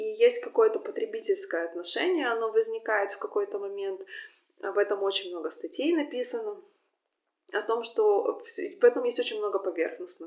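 Long, frequent pauses break up a woman's speech, which otherwise moves at a moderate pace. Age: 30s. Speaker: podcast host. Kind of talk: solo monologue answering listener questions. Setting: Instagram live stream. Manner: hesitant, frequent filler sounds.

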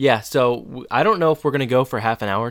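His voice sits at a medium pitch for a man. The man's pitch moves in an ordinary way. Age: 30s. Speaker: podcast co-host. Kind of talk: casual chat.

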